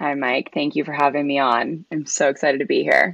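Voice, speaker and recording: Putting on a character voice, a woman speaks raspy and at a very deep, low pitch, at a fairly quick pace. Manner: super excited.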